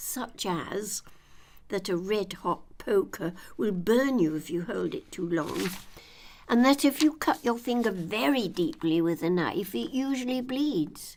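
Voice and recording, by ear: A woman speaks at a fairly slow pace with medium pitch and a slightly mellow tone. Her intonation is lively.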